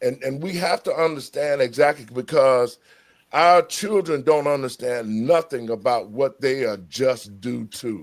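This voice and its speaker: Speaking at a fairly slow pace, a man uses an animated tone at a medium pitch with ordinary pitch variation. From US South. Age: 60s. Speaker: talk show host. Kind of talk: heated debate.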